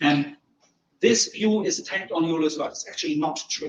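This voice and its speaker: With a German accent, a man talks at a moderate pace. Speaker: philosophy professor. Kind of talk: lecture.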